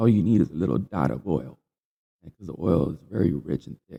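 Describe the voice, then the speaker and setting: Here a man talks at a very fast pace in a dark, mellow tone with vocal fry. His pitch swings very widely. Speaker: podcast host. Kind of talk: casual monologue. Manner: halting.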